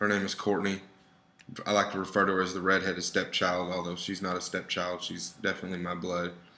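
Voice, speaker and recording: A man's very deep, low voice with an American accent, a bright, sharp tone and monotone, flat intonation at a fairly quick pace. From Texas, Dallas. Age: 20s. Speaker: student presenter. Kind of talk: presentation with slides. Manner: informal, conversational.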